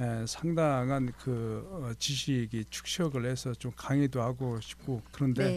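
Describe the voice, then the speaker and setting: The speech moves at a very slow pace with hardly any pauses. Its intonation is fairly even. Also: man, medium pitch for a man. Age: 60s. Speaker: retiring firefighter, fire department administrator. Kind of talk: radio interview. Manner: hesitant, many fillers.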